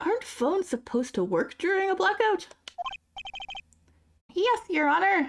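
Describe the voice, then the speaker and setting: In a put-on character voice, a man talks at an extremely high pitch and a moderate pace, with long, frequent pauses. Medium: actual play. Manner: formal, measured.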